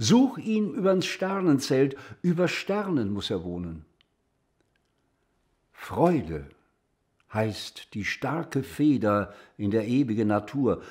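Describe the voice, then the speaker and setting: A man speaks at a very slow pace and medium pitch, with very wide pitch swings and long, frequent pauses. The background is quiet. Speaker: actor reading poetry. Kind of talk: poetry reading.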